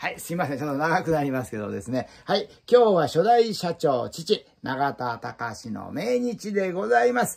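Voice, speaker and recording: Against a quiet background, a man with a fairly high pitch speaks at a moderate pace with very wide pitch swings and hardly any pauses. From Japan. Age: 60s. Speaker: Buddhist altar shop owner. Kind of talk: promotional video monologue. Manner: formal. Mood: warm, proud, reminiscing. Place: shop.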